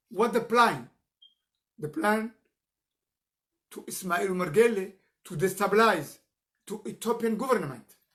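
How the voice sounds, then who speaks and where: A man with a non-native accent talks at a fairly slow pace and high pitch, using lively intonation, big swings in loudness and long, frequent pauses. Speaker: political activist. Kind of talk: live stream political address. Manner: halting.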